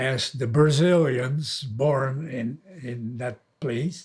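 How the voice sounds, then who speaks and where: Somewhat breathy, a man of medium pitch talks at a very slow pace with ordinary pitch variation. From Netherlands. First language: Dutch. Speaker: elderly man telling his life story. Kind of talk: oral history recollection. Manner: halting, with fillers.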